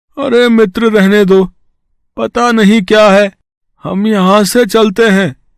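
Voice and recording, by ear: A man does a cartoonish character voice in a high pitch, going at a fairly slow pace with very even loudness and fairly even intonation.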